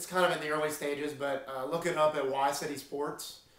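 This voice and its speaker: The man's voice is fairly high in pitch, with monotone, flat intonation. Room echo is audible. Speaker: sports show host. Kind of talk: casual chat. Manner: hesitant, many fillers.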